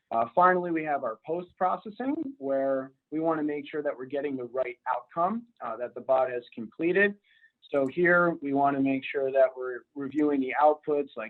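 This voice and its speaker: This man has a normal speaking voice, pitched fairly high. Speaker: robotic operations center manager. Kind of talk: webinar presentation.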